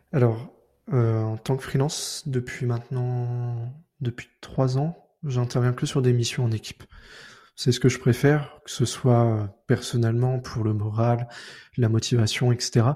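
In a dark, mellow tone, a man speaks at a very slow pace, somewhat breathy, with a medium pitch and fairly even intonation. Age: 20s. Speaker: freelance front-end developer. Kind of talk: casual interview.

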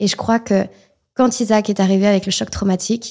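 With a dark, mellow tone and a medium pitch, a woman speaks at a fairly quick pace on a very clean recording with a silent background. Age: 20s. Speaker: association founder and mother of a child with Down syndrome. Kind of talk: testimony. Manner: animated.

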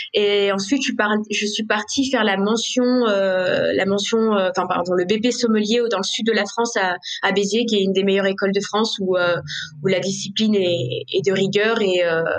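The woman talks at a medium pitch and a moderate pace. Her loudness is very even, her intonation fairly even, and there is noticeable background noise. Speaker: sommelier and restaurant owner. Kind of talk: interview. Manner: spontaneous, halting with fillers; passionate.

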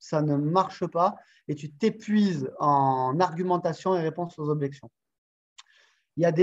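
A man with a southern French accent, fairly high pitch for a man, ordinary pitch variation, and a fairly slow pace. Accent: southern French sing-song. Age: 40s. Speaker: sales coach. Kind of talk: interview. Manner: animated.

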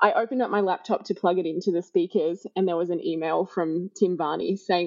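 This woman talks with an Australian accent. Her pitch is medium, with ordinary variation. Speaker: hospitality professional. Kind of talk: casual interview chat. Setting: remote recording.

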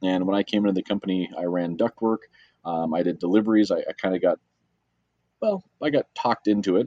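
A man speaks at a fairly quick pace in a fairly low voice, with a dark, mellow tone, ordinary pitch variation, and a dry, close sound with no echo. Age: 30s. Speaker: trades company president. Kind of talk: interview.

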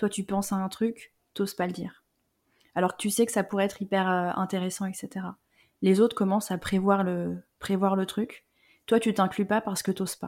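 A woman speaks at a medium pitch in a monotone, flat intonation. The recording is very clean and the background silent. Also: moderate pace. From France, Lyon (Rhône-Alpes). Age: 30s. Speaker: career transition coach. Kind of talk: casual interview.

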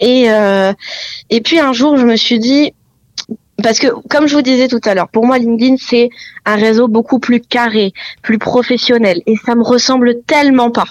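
The speech moves at a fairly slow pace with long, frequent pauses, fairly even intonation, and very even loudness. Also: woman, high pitch for a woman. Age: 20s. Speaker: real estate agent. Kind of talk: interview.

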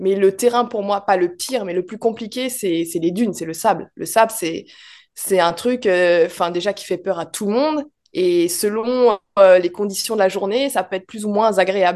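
A woman with a plain, everyday voice, medium pitch and ordinary pitch variation, at a moderate pace against a quiet background. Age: 30s. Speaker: ferry steward and rally driver. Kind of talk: interview.

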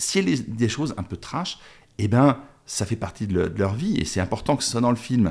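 A man's medium-pitched voice, fairly quick and with lively intonation, on a very clean recording with a silent background. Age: 50s. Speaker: documentary filmmaker. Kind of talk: interview. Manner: halting.

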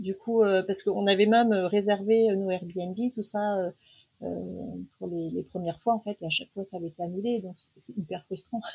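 A woman speaks at a fairly slow pace, somewhat breathy and medium in pitch, with fairly even intonation. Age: 40s. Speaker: traveller sharing a family trip. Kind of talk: casual interview. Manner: hesitant, many fillers.

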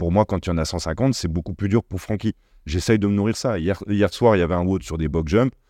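Against a quiet background, a man with a very deep, low pitch and a dark, mellow tone talks at a moderate pace with ordinary pitch variation, the sound dry and close with no echo. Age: 30s. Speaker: entrepreneur, former footballer. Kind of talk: casual chat.

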